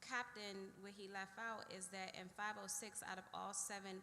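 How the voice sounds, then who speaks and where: A woman talks loudly with a bright, sharp tone in a medium pitch and an American accent. Her pace is fairly slow, and the room echo is audible. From Washington DC, Trinidad neighborhood. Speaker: police lieutenant. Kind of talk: community meeting presentation. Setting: church community meeting with audience. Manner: direct.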